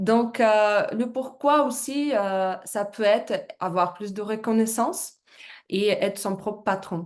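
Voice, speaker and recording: A woman's fairly high voice moves at a very slow pace with ordinary pitch variation. The background is quiet. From Russia. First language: Russian (speaking French). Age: 30s. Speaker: business presenter, former fitness coach. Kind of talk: business presentation. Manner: halting, many hesitations.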